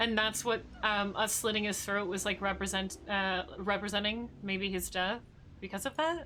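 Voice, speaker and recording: Her voice medium in pitch and bright and sharp in tone, a woman speaks at a moderate pace with fairly even intonation. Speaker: gaming streamer. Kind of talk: let's play commentary. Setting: live stream. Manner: quiet.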